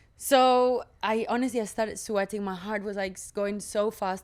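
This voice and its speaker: In a non-native accent, the speaker keeps fairly even intonation at a moderate pace on a very clean recording with a silent background. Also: woman. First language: not English. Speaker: actress and podcast co-host. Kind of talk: casual chat.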